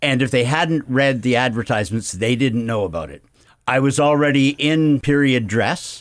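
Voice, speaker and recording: Over a silent background in a very clean recording, a man with a plain, everyday voice talks at medium pitch and a moderate pace. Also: ordinary pitch variation. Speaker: town crier, retired principal. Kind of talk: casual interview answer.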